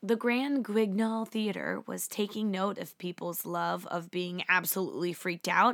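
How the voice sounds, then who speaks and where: A woman at a fairly slow pace, medium in pitch with ordinary pitch variation and an animated tone, in a very clean recording with a silent background. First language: not Japanese. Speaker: history podcast host. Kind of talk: scripted narration.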